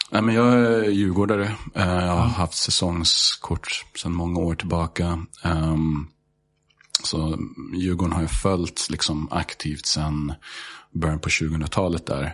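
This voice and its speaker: A man with an English accent speaks in a very deep, low pitch with ordinary pitch variation. The pace is fairly slow. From Sweden, Stockholm. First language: English (speaking Swedish). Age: 30s. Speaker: high school teacher. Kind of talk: casual chat.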